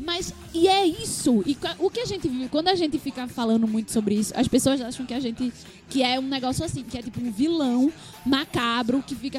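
There is noticeable background noise as a woman speaks. Her high voice has lively intonation. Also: fairly quick pace. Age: 20s. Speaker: podcast co-host. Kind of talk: casual chat.

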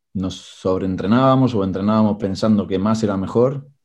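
A man talks at a moderate pace with a fairly low pitch and ordinary pitch variation. His tone is dark and mellow, over a quiet background. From Argentina (Tigre, Buenos Aires province). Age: 40s. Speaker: rowing coach and former champion rower. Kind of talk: interview.

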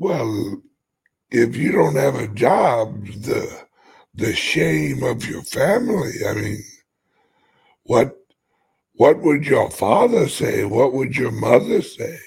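In a put-on character voice, a man speaks at a very slow pace, raspy and medium-pitched, with long, frequent pauses.

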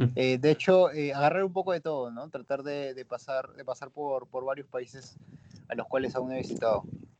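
The speaker talks at a moderate pace with ordinary pitch variation and big swings in loudness. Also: man, fairly high pitch for a man. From Peru. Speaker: singer. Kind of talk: interview. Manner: halting.

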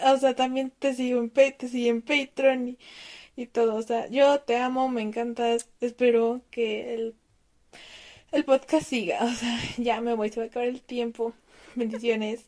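Her voice high in pitch, a woman speaks at a fairly slow pace in a monotone, flat way, recorded with a dry, close sound and no echo. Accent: Mexican. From Mexico. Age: 20s. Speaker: listener sending audio message. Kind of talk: recorded voice message.

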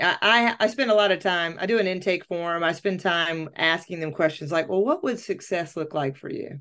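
With hardly any pauses, a woman speaks at medium pitch and ordinary pitch variation against a quiet background. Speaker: life coach and podcast host. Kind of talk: casual chat. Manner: loud; talkative.

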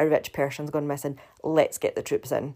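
A woman with a Scottish accent speaks at a fairly quick pace in a very deep, low pitch, her tone dark and mellow. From Scotland. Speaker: podcaster recapping a TV show. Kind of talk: solo podcast recap and commentary. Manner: casual, chatty, with filler words.

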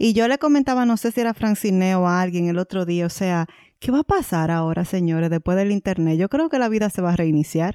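A woman with a normal speaking voice at medium pitch, fairly quick pace and lively intonation, very even in loudness, in a very clean recording with a silent background and a dry, close sound with no echo. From Dominican Republic. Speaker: podcast co-host. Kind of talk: casual chat.

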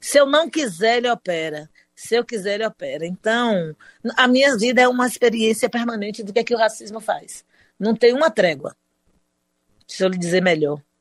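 A woman with an ordinary speaking voice, fairly high in pitch with lively intonation, at a moderate pace, in a dry, close sound with no echo. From Brazil, Salvador (Bahia). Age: 60s. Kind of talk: interview.

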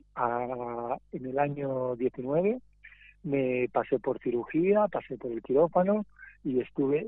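A man with a medium-pitched voice and ordinary pitch variation talks over noticeable background noise. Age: 50s. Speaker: mime and theatre performer. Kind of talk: interview.

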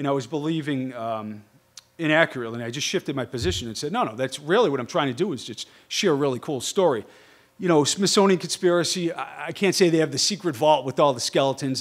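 Talking at a very fast pace, this man has a Boston accent. His pitch sits fairly high. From Boston, US. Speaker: stonemason and TV researcher. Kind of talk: lecture.

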